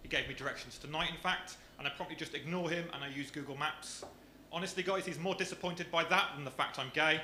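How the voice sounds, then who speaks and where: Someone with a Brummie accent speaks fairly quickly amid noticeable background noise and audible room echo. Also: man. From Birmingham, England. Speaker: comedian. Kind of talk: stand-up. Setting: stage with audience.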